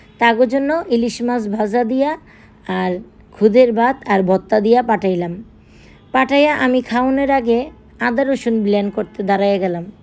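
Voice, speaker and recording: A woman with a central Bangladeshi accent speaks at a fairly high pitch. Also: ordinary pitch variation. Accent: Narayanganj regional Bengali dialect. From Bangladesh, Narayanganj. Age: middle-aged. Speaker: cooking vlogger. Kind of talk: casual vlog narration.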